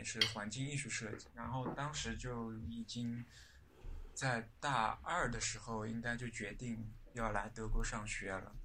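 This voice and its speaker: In audible room echo, a man talks at a very slow pace. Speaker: architect. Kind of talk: casual chat.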